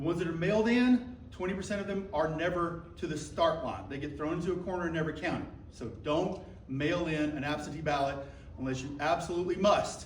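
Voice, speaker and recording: Loud and fairly quick, a man talks at a high pitch with ordinary pitch variation, amid audible room echo and noticeable background noise. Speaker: county election commission member. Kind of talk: audience interjection at public forum. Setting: public library meeting with audience, speaking without mic.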